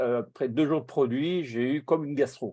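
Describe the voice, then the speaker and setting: In a quiet setting, a man's dark, mellow voice moves with ordinary pitch variation. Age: 50s. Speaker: online meeting host and product distributor. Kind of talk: testimony in group video meeting.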